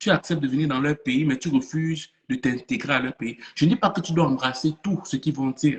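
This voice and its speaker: Somewhat breathy and fairly high-pitched, a man speaks at a fairly quick pace with ordinary pitch variation. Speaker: motivational speaker. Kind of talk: online conference talk. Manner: animated.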